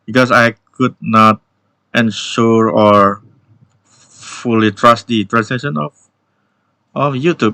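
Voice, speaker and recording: With an Indonesian accent, a man speaks very slowly in a medium-pitched, bright and sharp voice, taking long, frequent pauses, recorded with a dry, close sound and no echo. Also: ordinary pitch variation. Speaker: YouTube tech educator. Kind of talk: tech news update video. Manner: halting with fillers.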